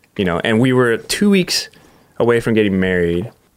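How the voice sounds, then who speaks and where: At a moderate pace, a man with an American accent talks in an ordinary speaking voice with ordinary pitch variation. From Southern California (Huntington Beach). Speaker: professional skateboarder. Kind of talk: casual interview chat.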